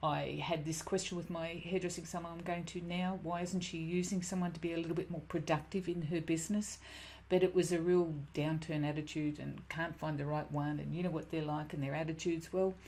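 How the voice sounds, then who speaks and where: In a room with audible echo, a woman speaks at a fairly quick pace in a fairly low, dark, mellow voice with monotone, flat intonation. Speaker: business coach, former hairdresser. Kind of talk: webinar presentation. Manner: fast.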